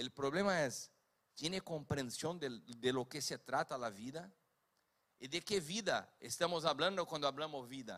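Speaking with a Brazilian accent, a man has a bright, sharp tone, a fairly high pitch and ordinary pitch variation. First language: Portuguese (speaking Spanish). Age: 50s. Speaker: preacher. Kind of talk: sermon.

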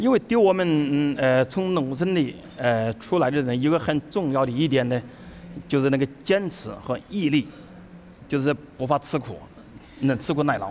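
A man with a Chinese accent speaks at a fairly high pitch and moderate pace with lively intonation. Long, frequent pauses break up his speech. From Hubei, China. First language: Mandarin Chinese. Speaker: chef. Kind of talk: onstage interview through interpreter. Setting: stage with audience.

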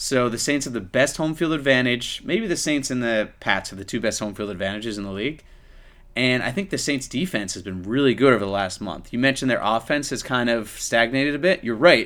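A man with an unremarkable speaking voice and a medium pitch talks at a fairly quick pace with lively intonation, in a very clean recording with a silent background. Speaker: podcast host. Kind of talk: casual sports chat.

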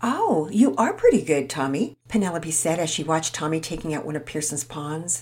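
A woman's somewhat breathy voice swings very widely in pitch while keeping a moderate pace. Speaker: children's storyteller. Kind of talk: reading aloud; religious lesson.

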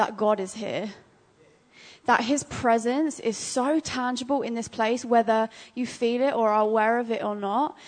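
A woman with an English accent speaks at a fairly high pitch. Her pace is moderate and her intonation fairly even. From England. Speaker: ministry school student. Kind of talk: prophetic word in church. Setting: church.

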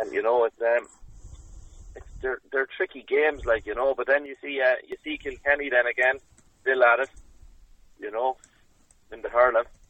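Speaking at a moderate pace in an Irish Midlands accent, a man takes long, frequent pauses and swings widely in loudness. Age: 20s. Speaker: Gaelic footballer and coach. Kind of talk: interview.

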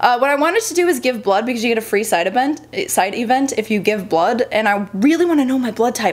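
A woman talks at a very fast pace in a fairly high pitch. Noticeable background noise can be heard. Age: 20s. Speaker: model and gaming YouTuber. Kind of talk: casual vlog.

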